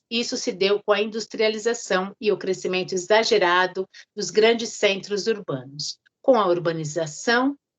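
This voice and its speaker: A woman's medium-pitched voice at a fairly slow pace, with lively intonation. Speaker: teacher / lecturer. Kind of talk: lecture reading from notes. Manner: reading, somewhat halting.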